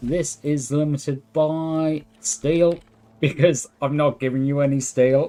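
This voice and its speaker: Very slowly, a man speaks in a dark, mellow tone at a fairly high pitch. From northeast England. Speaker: game streamer. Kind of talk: live gameplay commentary. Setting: live stream. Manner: relaxed, chatty with fillers.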